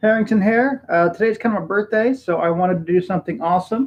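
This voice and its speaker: Lively intonation and a moderate pace from a man with a high-pitched voice. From Texas. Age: 30s. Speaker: YouTuber streaming live. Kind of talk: casual live stream chat. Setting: home room, live stream. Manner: casual, halting with many fillers.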